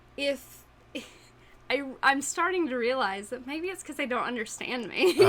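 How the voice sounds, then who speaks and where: This woman's voice sits high in pitch and moves with lively intonation. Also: moderate pace. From East Tennessee. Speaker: podcast co-host. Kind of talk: casual chat.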